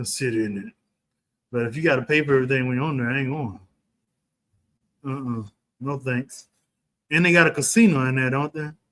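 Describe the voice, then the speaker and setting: A man with a Texan accent, a very fast pace, big swings in loudness and long, frequent pauses. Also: medium pitch for a man, ordinary pitch variation. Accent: Texas, country. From Texas, Dallas. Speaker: livestream host, real estate commentator. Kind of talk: casual livestream chat. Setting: livestream. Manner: animated.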